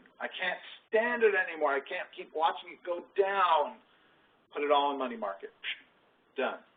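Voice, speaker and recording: Against noticeable background noise, a man with a high pitch speaks with lively intonation, big swings in loudness and long, frequent pauses. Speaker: financial advisor presenting 401k orientation. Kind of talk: workplace presentation. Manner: fast.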